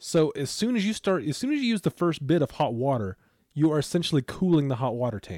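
A man speaks at a very fast pace with a fairly high pitch and very wide pitch swings. His tone is dark and mellow, and the sound is dry and close with no echo. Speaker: podcast co-host. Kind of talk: casual chat.

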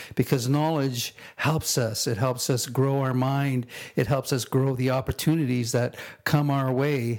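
This man has an ordinary speaking voice, medium in pitch, delivered at a fairly slow pace with fairly even intonation. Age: 60s. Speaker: podcast host. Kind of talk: podcast monologue on quotes.

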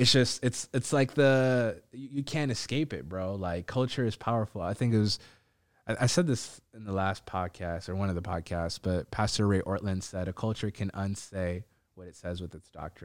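A man with an American accent and a normal speaking voice, at a moderate pace with ordinary pitch variation and big swings in loudness, in a very clean recording with a silent background. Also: fairly low pitch for a man. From Ethiopian community, Minnesota. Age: 30s. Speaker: podcast host. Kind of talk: casual chat.

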